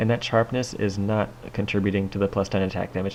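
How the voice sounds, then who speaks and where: Mumbling at a fairly quick pace, a man talks with a fairly low pitch. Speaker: gaming video creator and map maker. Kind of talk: gameplay commentary. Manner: casual, filler-heavy.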